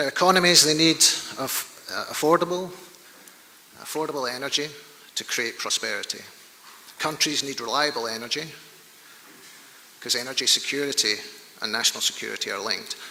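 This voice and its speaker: Noticeable background noise sits behind a man speaking at a fairly quick pace and fairly high pitch with ordinary pitch variation. He leaves long, frequent pauses. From Scotland, Glasgow. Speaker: oil industry executive, conference speaker. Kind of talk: conference presentation. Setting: stage with large audience. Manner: somewhat halting, with fillers.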